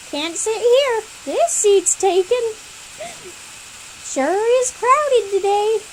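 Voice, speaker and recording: Using a put-on character voice, a woman speaks at an extremely high pitch and a very slow pace. Long, frequent pauses break up her speech, and clear background noise is present. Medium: read story.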